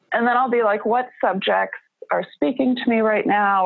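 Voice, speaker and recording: This woman talks at a moderate pace. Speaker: zine creator and writer. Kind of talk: casual interview. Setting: podcast interview.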